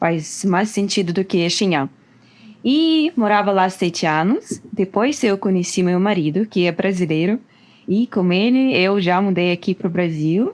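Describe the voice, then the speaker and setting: With a Russian accent, a woman of medium pitch speaks at a fairly slow pace and ordinary pitch variation. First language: Russian (speaking Portuguese). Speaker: guest. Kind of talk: casual chat.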